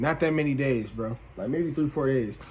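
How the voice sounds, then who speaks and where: A fairly quick-paced man, an ordinary speaking voice, his pitch variation ordinary. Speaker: YouTuber telling personal stories. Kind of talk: casual story time monologue. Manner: casual, slangy.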